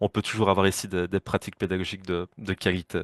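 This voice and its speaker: In a strong Liège accent, a man speaks with fairly even intonation. The sound is dry and close with no echo, over a quiet background. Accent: strong Liège Belgian. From Belgium, Liège. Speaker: educator and presenter. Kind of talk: panel discussion. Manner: fast.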